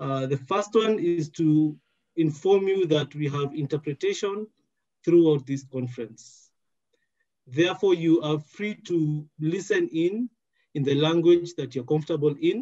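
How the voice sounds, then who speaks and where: A man speaks at a fairly slow pace in a dark, mellow tone, with ordinary pitch variation, over a quiet background. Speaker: event moderator. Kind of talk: housekeeping announcement. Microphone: headset.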